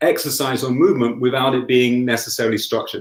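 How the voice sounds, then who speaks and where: A man speaks at a very fast pace. His pitch is medium, and his intonation stays fairly even. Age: 60s. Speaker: lifestyle medicine coach and yoga teacher. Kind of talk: interview chat.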